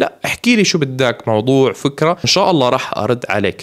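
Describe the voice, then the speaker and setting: A man's voice makes very wide pitch swings. The background is quiet. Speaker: YouTube cartoon reviewer. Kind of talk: casual commentary and channel outro. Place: home room. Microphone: studio mic.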